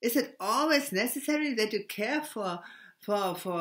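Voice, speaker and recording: A woman with a German accent speaks at a fairly slow pace. Her fairly high voice moves in very wide pitch swings. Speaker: spiritual video blogger. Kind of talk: spiritual monologue. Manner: halting, stammering; many hesitations and repetitions.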